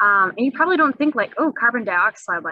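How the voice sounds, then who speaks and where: Lively intonation runs through a voice with a bright, sharp tone. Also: woman. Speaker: teacher. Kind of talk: lecture. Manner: fast.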